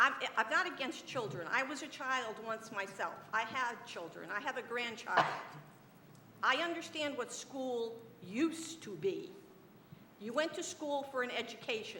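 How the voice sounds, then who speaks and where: At a moderate pace, a woman talks in a high pitch with lively intonation, and audible room echo can be heard. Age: 70s. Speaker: city council member. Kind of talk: council meeting debate speech. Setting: council chamber.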